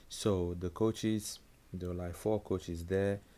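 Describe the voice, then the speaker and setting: Speaking at a fairly slow pace, a man uses a very deep, low pitch and a dark, mellow tone with fairly even intonation. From Nigeria. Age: 20s. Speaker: professional footballer. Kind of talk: interview.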